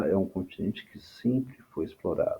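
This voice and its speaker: A man is speaking. His voice is soft-spoken. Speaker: history teacher. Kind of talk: lecture. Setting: home recording at night. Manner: halting.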